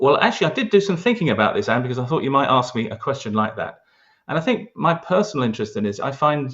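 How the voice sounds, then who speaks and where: A man with a London accent talks at a very fast pace and a medium pitch. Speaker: local historian, award winner. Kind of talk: interview.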